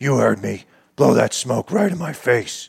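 Putting on a raspy, gruff character voice at a medium pitch, a man speaks at a moderate pace. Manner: demanding, confrontational.

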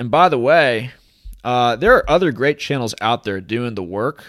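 An ordinary speaking voice at a moderate pace. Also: man. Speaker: crypto commentator. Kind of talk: casual monologue. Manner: casual, jokey.

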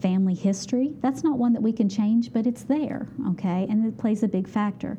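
A woman speaks with an Appalachian accent and ordinary pitch variation. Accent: Appalachian American. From West Virginia, Beckley. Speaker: exercise physiologist. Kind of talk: interview.

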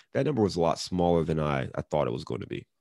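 A man talks at a very deep, low pitch. The recording is very clean and the background silent. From US Midwest, Cleveland, Ohio. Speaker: real estate investor. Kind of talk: interview. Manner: casual.

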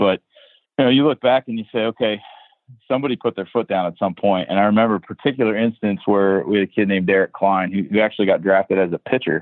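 The speaker has a normal speaking voice with fairly even intonation. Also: man. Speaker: college baseball head coach. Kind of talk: podcast interview.

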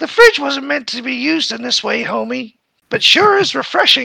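Moderate pace in a put-on character voice. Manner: nagging, sarcastic.

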